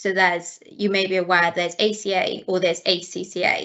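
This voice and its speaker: The speaker has a Welsh accent. The pace is moderate. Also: woman. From South Wales, near Swansea. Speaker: chartered accountant. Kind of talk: webinar talk.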